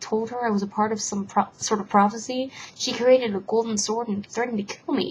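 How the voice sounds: Fairly even intonation in a natural reading voice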